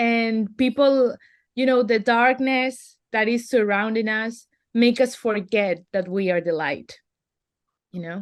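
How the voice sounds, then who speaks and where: A woman's fairly high voice in a Spanish accent, at a very slow pace, with ordinary pitch variation and a quiet background. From Venezuela. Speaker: artist and activist. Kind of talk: interview.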